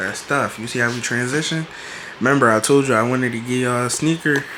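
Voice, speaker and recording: Speech moves at a moderate pace with fairly even intonation. Noticeable background noise sits behind it. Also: man. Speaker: college student vlogger. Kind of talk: casual vlog room tour. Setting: college apartment room. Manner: whispering.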